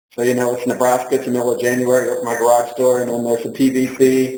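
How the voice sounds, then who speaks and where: At a very fast pace, a man speaks with monotone, flat intonation. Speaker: nonprofit founder and speaker. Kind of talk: lecture. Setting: stage with audience.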